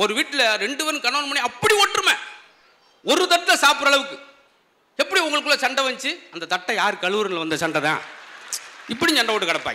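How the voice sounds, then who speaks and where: Over noticeable background noise, a man uses a raised, projected voice at an extremely high pitch, with very wide pitch swings. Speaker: stand-up comedian. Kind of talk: comedy speech to a live audience.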